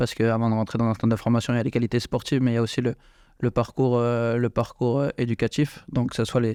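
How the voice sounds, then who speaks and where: A man's medium-pitched voice with a dark, mellow tone, a monotone, flat intonation and a very fast pace, at very even loudness, dry and close with no echo against a quiet background. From France, eastern France and south. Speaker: football coach. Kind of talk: radio interview. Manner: halting, repeats words.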